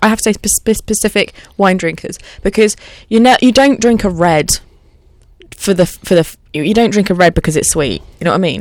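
At a fairly quick pace, a woman speaks in a normal speaking voice at medium pitch with ordinary pitch variation. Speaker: radio station manager. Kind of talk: casual chat.

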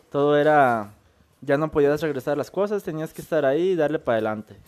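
The man's voice sits at a fairly high pitch. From Michoacán, Mexico. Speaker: podcast guest. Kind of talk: casual chat.

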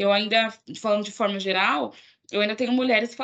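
Bright and sharp in tone, a woman talks at a fairly high pitch with ordinary pitch variation. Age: 20s. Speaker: podcast host. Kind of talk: casual chat.

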